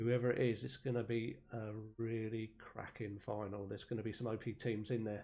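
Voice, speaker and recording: With an East Anglian accent, a man speaks fairly quickly at a medium pitch, his dark, mellow tone held in a monotone, flat intonation. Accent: East Anglian, said to sound a bit Australian. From East Anglia, England. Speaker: esports caster and streamer. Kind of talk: live commentary. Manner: casual, chatty.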